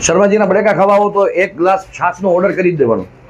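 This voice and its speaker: A man's voice amid noticeable background noise. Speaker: food vlogger. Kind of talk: food review vlog. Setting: street food stall. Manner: animated.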